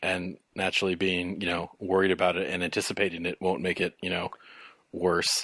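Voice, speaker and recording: This man speaks at a fairly quick pace in a very deep, low voice with monotone, flat intonation. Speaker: podcast guest. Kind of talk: casual chat. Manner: fast; halting.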